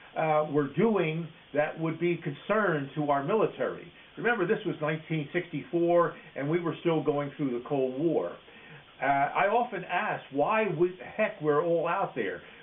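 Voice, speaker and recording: With an American accent, a man talks at a moderate pace and high pitch over noticeable background noise. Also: ordinary pitch variation. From Philadelphia, Pennsylvania. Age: 80s+. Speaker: war veteran. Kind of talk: oral history interview. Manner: halting, with frequent fillers.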